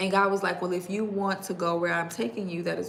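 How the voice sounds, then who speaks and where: Fairly quick speech in a New York accent, with noticeable background noise and audible room echo. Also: woman. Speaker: digital marketing coach. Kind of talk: livestream talk to viewers. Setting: YouTube livestream. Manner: fast.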